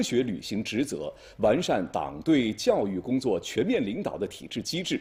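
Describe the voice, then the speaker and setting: Over a silent background in a very clean recording, a man speaks at a fairly slow pace. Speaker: news anchor. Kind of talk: television news broadcast.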